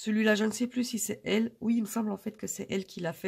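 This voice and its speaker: A woman talking at a fairly quick pace. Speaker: budget vlogger. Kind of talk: casual vlog talk to camera. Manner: hesitant, many filler euh.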